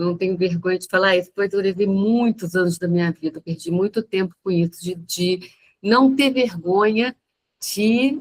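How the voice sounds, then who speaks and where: An ordinary speaking voice with ordinary pitch variation and a dry, close sound with no echo. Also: woman. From Brazil, countryside. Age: 60s. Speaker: church member giving testimony. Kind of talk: personal testimony. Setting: video call.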